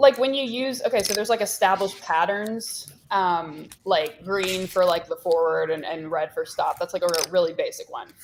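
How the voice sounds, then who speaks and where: A woman mumbles at a medium pitch with ordinary pitch variation. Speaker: poker player. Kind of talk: casual chat. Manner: fast; mumbling.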